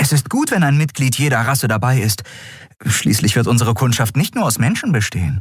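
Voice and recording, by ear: The voice reads aloud in a natural voice.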